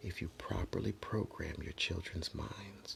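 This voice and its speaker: A man whispering. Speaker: motivational vlogger. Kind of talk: motivational monologue.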